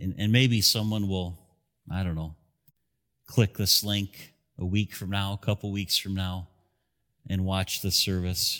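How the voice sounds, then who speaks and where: On a very clean recording with a silent background, a man with a very deep, low pitch talks at a fairly slow pace with fairly even intonation and long, frequent pauses. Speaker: pastor. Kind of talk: sermon. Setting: church with broadcast. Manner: earnest, direct altar-call appeal, slow and pleading; conversational, expository teacher.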